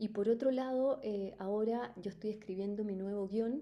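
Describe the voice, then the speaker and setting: A woman with a Chilean accent speaks at a fairly high pitch in a dark, mellow tone with ordinary pitch variation. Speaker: life coach, company founder. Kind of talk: webinar talk. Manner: spontaneous, animated.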